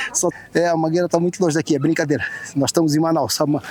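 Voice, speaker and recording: A high-pitched man speaks at a very fast pace. The sound is dry and close with no echo, though noticeable background noise is present. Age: 60s. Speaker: travel vlogger. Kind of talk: casual vlog narration. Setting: outdoors, climbing observation tower. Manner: animated.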